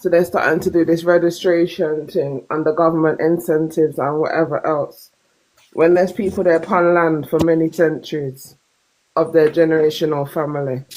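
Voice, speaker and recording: A woman's fairly low voice with a Jamaican accent, at a fairly quick pace, in monotone, flat intonation. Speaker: caller on a live stream discussion. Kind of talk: live stream debate.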